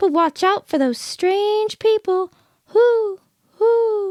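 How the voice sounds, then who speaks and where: An extremely high, squeaky, female-sounding voice speaks at a very slow pace. It is a put-on character voice. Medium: read story. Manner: hooting.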